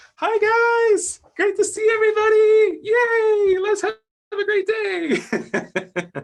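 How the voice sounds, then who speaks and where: In a put-on character voice, the speaker sounds squeaky at an extremely high pitch and goes at a very slow pace. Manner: overly upbeat, chirpy.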